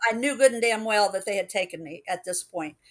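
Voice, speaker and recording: A woman speaks with lively intonation in a plain, everyday voice. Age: 60s. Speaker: alien contact experiencer. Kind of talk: interview testimony.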